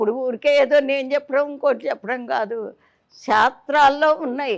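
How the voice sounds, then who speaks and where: This woman's pitch is high. The intonation she uses remains fairly even. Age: 80s+. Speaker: temple priestess. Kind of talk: interview answer.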